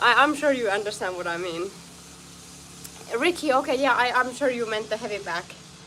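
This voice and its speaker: Someone with a strong non-native accent speaks at a moderate pace with lively intonation over noticeable background noise. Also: woman. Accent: foreign accent, strong. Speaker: martial arts fighter and streamer. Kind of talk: live stream training chat. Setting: outdoor home studio. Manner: halting.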